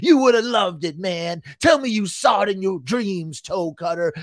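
A man's put-on character voice with cackling, at a moderate pace, on a very clean recording with a silent background. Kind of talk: mock sports commentary. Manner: manic, taunting, showboating.

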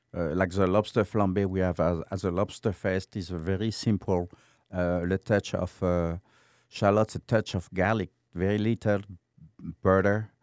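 A man with a French accent speaks in a very deep, low pitch with monotone, flat intonation at a moderate pace. The recording is very clean with a silent background and a dry, close sound with no echo. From France. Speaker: restaurant owner and chef. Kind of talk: casual interview.

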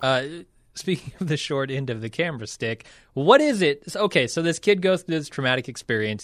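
Speaking at a fairly quick pace with lively intonation, a man with an ordinary speaking voice keeps a medium pitch against a quiet background. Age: 30s. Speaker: podcast host. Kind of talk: casual chat.

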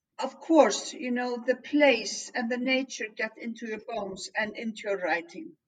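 Her pitch high and ordinary in its variation, a woman with an Icelandic accent talks at a moderate pace. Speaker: crime novelist. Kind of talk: interview.

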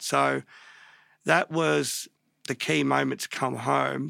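A man with an Australian accent speaks in a dry, close sound with no echo, on a very clean recording with a silent background. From Australia, Melbourne northern suburbs. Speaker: tattoo artist. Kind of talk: casual interview chat.

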